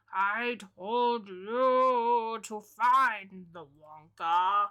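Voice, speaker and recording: A woman does a put-on character voice, creaky and fairly high in pitch. She goes very slowly, with ordinary pitch variation. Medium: solo performance. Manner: creaky, rambling old man.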